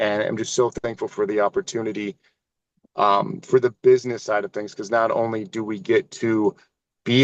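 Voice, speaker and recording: A man's medium-pitched voice in dry, close sound with no echo. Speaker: network marketing distributor sharing testimony. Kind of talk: testimony. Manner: fast; animated.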